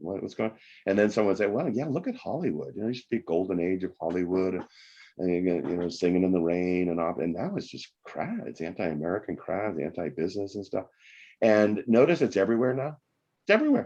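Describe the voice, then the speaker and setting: A very fast man's voice with lively intonation and a dark, mellow tone. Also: fairly low pitch for a man. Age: 60s. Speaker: economics professor and author. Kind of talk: podcast interview.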